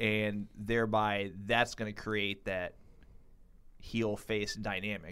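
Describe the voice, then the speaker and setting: Delivered at a very slow pace in an American accent, the speech has monotone, flat intonation, on a very clean recording with a silent background. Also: man. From US South. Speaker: podcast co-host. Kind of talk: casual chat.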